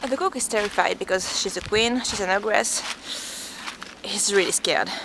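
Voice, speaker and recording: Over noticeable background noise, a woman talks with a non-native accent. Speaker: vlogger. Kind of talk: casual vlog storytelling while walking. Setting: outdoors.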